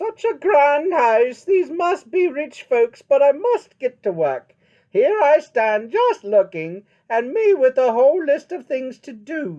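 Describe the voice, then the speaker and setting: This is a put-on character voice, high in pitch with very wide pitch swings. The pace is fairly slow. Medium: read story. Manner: folksy, earnest.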